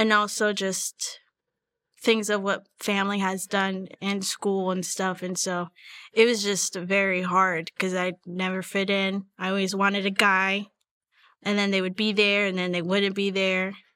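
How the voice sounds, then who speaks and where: At a fairly slow pace, a woman speaks in a monotone, flat intonation with a medium pitch and a bright, sharp tone on a very clean recording with a silent background. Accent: American. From Northern Virginia, US. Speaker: worship leader. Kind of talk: testimony.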